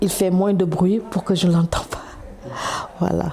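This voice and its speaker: Noticeable background noise fills the clip. Over it, a woman speaks very slowly. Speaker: mother of a young footballer. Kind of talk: interview testimony. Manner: loud.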